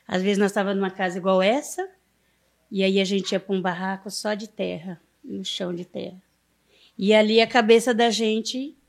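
On a very clean recording with a silent background, a woman speaks at a moderate pace with a medium pitch. Her intonation is fairly even, and she leaves long, frequent pauses. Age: 50s. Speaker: community leader. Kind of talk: interview storytelling.

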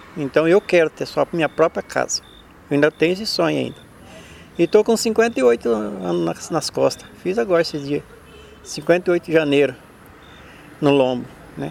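A man with a fairly high pitch speaks with very wide pitch swings and long, frequent pauses. The sound is dry and close with no echo, though noticeable background noise is present. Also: moderate pace. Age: 50s. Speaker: street car watcher, former bricklayer. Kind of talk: interview testimony.

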